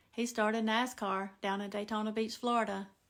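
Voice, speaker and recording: A woman with a Southern Appalachian accent speaks at a fairly high pitch in a monotone, flat intonation. The recording is very clean, with a silent background. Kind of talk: casual storytelling to camera.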